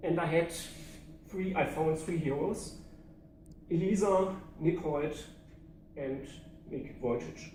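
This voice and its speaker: In a room with audible echo, a man with a German accent speaks at a fairly slow pace, with fairly even intonation and long, frequent pauses. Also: fairly high pitch for a man. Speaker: public speaking club member. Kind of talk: prepared speech.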